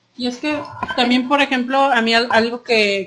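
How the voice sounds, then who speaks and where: A woman with a Guadalajara accent and ordinary pitch variation. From Mexico, Guadalajara. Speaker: workplace team member. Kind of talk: casual podcast conversation. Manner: sounds blunt, harsh to others.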